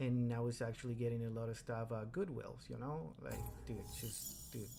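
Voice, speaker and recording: A man at medium pitch and moderate pace, with audible room echo around him. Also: ordinary pitch variation. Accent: Spanish. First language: Spanish. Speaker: card collector and streamer. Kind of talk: casual interview chat. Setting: video call.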